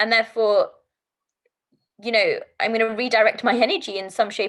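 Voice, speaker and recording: A woman at a fairly high pitch and fairly quick pace, with ordinary pitch variation. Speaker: diversity and inclusion coach, entrepreneur. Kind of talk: podcast interview. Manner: animated.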